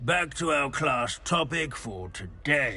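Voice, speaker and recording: A man puts on a character voice, fairly high and at a fairly slow pace, over light background noise. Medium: video game. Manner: dry, rambling, hesitant.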